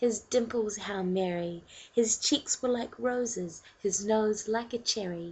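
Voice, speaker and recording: Very slowly and somewhat breathily, a woman with a New Zealand accent speaks with ordinary pitch variation. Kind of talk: poetry reading.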